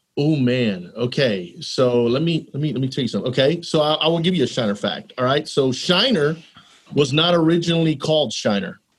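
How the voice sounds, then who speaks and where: The speaker has an American accent and talks at a fairly quick pace. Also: man, fairly high pitch for a man, lively intonation. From Texas. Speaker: elementary school principal. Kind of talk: casual interview.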